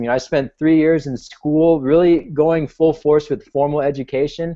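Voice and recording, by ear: Speaking at a moderate pace with an American accent, a man has a dark, mellow tone and fairly even intonation.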